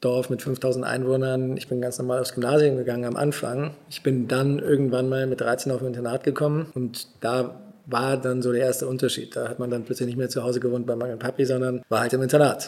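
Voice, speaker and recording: A man talks at a fairly quick pace with hardly any pauses. His medium pitch stays in a monotone, flat intonation. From Germany, rural village. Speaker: real estate investor. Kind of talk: casual interview.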